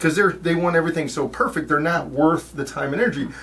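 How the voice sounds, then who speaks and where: A man's high-pitched voice at a very fast pace, with noticeable background noise. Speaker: podcast co-host. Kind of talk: casual chat. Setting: studio. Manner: animated.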